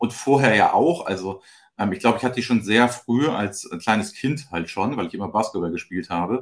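A man speaks in a normal speaking voice at medium pitch. His pace is fairly quick. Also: lively intonation. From northern Germany, Flensburg near the Danish border. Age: 40s. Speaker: company managing director. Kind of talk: casual chat.

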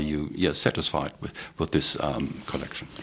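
A man talks at a fairly quick pace in a very deep, low pitch. Noticeable background noise sits behind him. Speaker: podcast host, journalist. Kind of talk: scripted intro in German. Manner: hesitant, repeats words.

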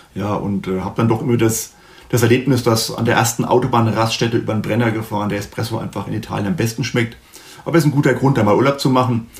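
A man at medium pitch and a very fast pace, with fairly even intonation over noticeable background noise. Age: 50s. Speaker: sales director. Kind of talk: interview. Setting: video call.

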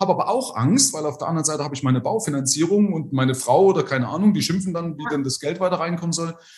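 A man with a fairly high pitch races through his words very fast, his intonation lively. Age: 50s. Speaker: financial advisor. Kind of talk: casual interview.

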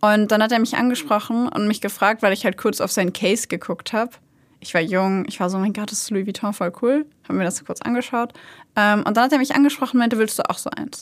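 Speaking at a very fast pace, a woman uses a fairly high pitch with ordinary pitch variation. The recording is very clean, with a silent background. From Germany, Hanover. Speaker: true crime podcast host. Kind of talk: casual chat.

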